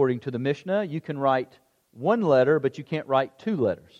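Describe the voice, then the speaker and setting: A man with a normal speaking voice and a fairly high pitch, lively intonation, moderate pace, and a dry, close sound with no echo. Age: 40s. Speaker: pastor. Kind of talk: sermon.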